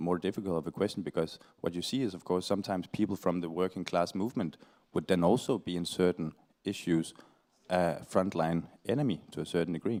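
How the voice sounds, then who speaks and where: A man with a Danish accent speaks at a very fast pace in a very deep, low pitch, his tone dark and mellow with ordinary pitch variation, in a dry, close sound with no echo. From Denmark (Aarhus). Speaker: panel speaker, climate activist. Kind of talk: panel Q&A answer. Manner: halting.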